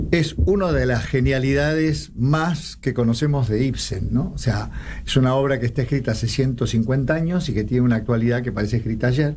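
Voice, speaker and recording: A man's medium-pitched voice with ordinary pitch variation, very even loudness, a fairly quick pace and hardly any pauses, plus audible room echo. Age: 70s. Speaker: actor. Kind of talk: interview.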